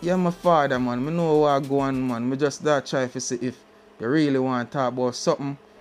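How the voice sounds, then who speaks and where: Over music in the background, a man with a Jamaican accent talks at a moderate pace in a relaxed tone with fairly even intonation. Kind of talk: casual podcast talk. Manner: relaxed, laid-back.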